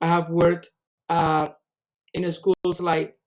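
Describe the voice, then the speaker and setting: At a fairly slow pace, a man speaks in a high pitch with a dark, mellow tone. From Colombia, Caribbean coast (Cartagena). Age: 30s. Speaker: English teacher. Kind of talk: job interview self-presentation. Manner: halting, with fillers and self-corrections.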